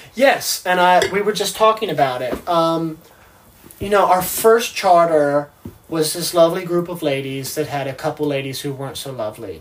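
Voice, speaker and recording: Over noticeable background noise, a man with a high pitch talks at a moderate pace, his intonation lively and his loudness swinging widely. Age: 20s. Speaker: yacht deckhand, reality TV cast member. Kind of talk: casual interview. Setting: on a sailboat.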